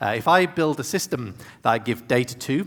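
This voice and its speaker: Speaking with a British accent, a man shows ordinary pitch variation. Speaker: tech executive and conference speaker. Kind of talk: keynote talk. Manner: fast.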